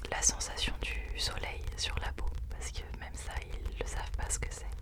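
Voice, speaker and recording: Someone whispers, soft-spoken. There is noticeable background noise. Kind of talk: whispered ASMR book recommendations, casual talk to camera. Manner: whispered, soft-spoken.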